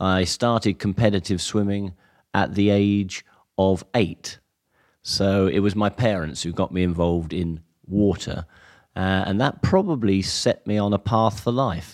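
Over a very clean recording with a silent background, a man talks at a fairly slow pace and a fairly low pitch. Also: fairly even intonation. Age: 60s. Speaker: physiology professor. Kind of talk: interview. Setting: staff room at a lido.

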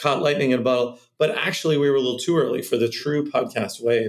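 A man talks at a very fast pace with a Californian accent. His pitch varies in an ordinary way. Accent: General American, Californian. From California, Cupertino. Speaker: venture capitalist. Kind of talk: interview conversation.

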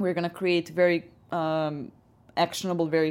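With a Serbian accent, a woman speaks fairly quickly at a fairly low pitch in a flat monotone. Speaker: head of business development. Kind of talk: interview.

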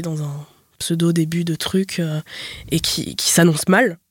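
A woman talks in a fairly low pitch and at a fairly slow pace. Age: 20s. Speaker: podcast guest. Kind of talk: casual chat.

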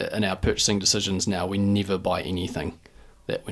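A man with a New Zealand accent talks at a very fast pace in a very deep, low pitch with monotone, flat intonation. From New Zealand, Dunedin. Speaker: retail business co-founder. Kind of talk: interview.

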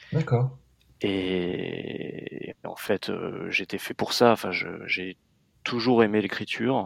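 A man speaks at a very slow pace with a fairly low pitch and ordinary pitch variation. Long pauses come often. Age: 40s. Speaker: magazine editor-in-chief. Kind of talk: interview.

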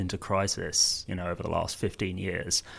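Very clean recording, silent background, and speech at a moderate pace. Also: man. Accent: southern English. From southern England, Surrey. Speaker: online political campaign co-founder. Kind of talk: panel discussion.

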